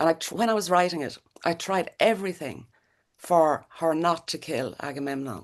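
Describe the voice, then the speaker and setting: A woman speaks with an Irish accent at a fairly low pitch. Her pace is moderate, with ordinary pitch variation. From Ireland. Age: 60s. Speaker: playwright. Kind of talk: interview. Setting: video call. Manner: halting.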